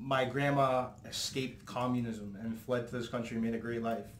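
A man with a Canadian accent at a moderate pace, with audible room echo and light background noise. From Hamilton, Ontario, Canada; Ontario. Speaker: podcast host or guest. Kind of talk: casual interview. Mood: relaxed, friendly. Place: home room.

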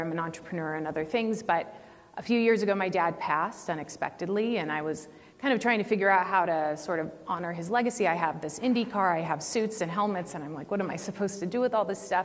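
With an American accent, a woman talks at a very fast pace and with ordinary pitch variation. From Northern California. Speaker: racing foundation founder; panelist. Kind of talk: panel talk. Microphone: lapel.

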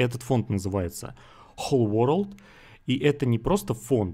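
A man's unremarkable speaking voice at a moderate pace, with ordinary pitch variation, on a very clean recording with a silent background. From Russia, Saint Petersburg. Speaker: online recruiter promoting a donation scheme. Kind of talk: screen-share sales pitch.

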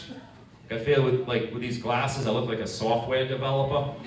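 A man with a Rhode Island accent at a medium pitch and fairly quick pace, with light background noise and audible room echo. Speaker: stand-up comedian. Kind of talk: stand-up comedy set with crowd work. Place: stage.

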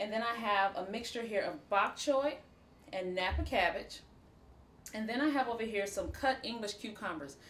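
A woman speaks with a fairly bright tone. Room echo is audible. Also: medium pitch for a woman, ordinary pitch variation, moderate pace.

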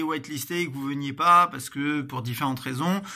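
Bright and sharp in tone, a man's fairly high voice moves at a moderate pace with fairly even intonation. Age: 30s. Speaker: gaming streamer. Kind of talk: casual announcement video. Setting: home corner with plant and lamp.

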